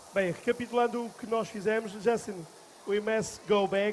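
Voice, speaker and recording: A man with a Portuguese accent at a moderate pace, in monotone, flat intonation. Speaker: festival presenter and interpreter. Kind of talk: live event hosting. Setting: stage with audience.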